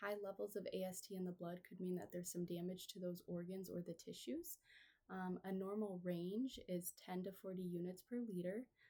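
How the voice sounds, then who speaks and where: A woman's dark, mellow tone at medium pitch with fairly even intonation. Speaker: nursing student. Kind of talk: patient education role-play. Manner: fast; hesitant fillers.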